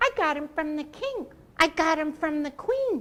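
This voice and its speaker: A woman puts on a squeaky character voice, extremely high in pitch with very wide swings, at a moderate pace. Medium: read story. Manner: loud, echoing.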